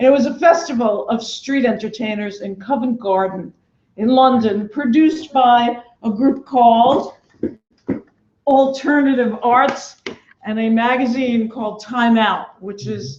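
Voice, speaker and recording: In a Brooklyn accent, a woman speaks loudly at a fairly slow pace, her high pitch showing ordinary variation. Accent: New York (Brooklyn). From New York City (Brooklyn). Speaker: festival producer. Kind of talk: speech to an audience. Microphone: no microphone.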